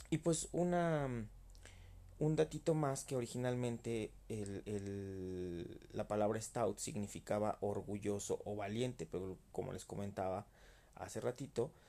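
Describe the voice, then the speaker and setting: Very slowly, a man speaks at a fairly low pitch in a dark, mellow tone with lively intonation. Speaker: beer podcaster. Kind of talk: casual monologue. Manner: halting, many repetitions.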